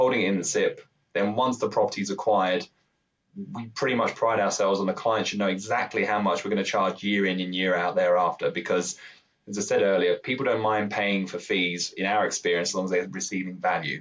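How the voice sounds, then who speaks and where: A man with a British accent talks at a very fast pace. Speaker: pension provider expert. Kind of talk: podcast interview. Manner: slightly halting.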